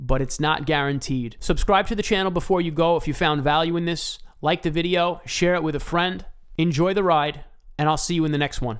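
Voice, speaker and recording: A man with a high-pitched voice speaks at a fairly quick pace in an animated tone, his pitch varying in an ordinary way. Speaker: cryptocurrency youtuber. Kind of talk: video commentary on crypto investing. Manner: fast.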